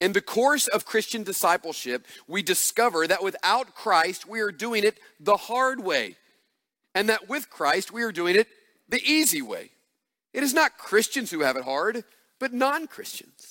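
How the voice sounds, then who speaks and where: A man speaks in a raised, projected voice with a high pitch and very wide pitch swings, his tone animated, bright and sharp. The sound is dry and close, with no echo. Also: moderate pace. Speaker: preacher. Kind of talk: sermon. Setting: church. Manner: earnest, rallying pulpit delivery with emphatic, insistent emphasis; animated, urging the congregation to respond aloud.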